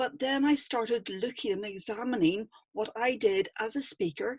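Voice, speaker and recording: Lively intonation marks a voice in a Northern Irish accent, heard with a dry, close sound and no echo. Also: woman. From Northern Ireland. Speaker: public speaking coach. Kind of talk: online workshop talk.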